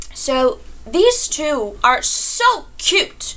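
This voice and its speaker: With a non-native accent, a woman is speaking. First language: not English. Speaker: book reviewer. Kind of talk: casual vlog review. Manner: hesitant, many fillers; enthusiastic.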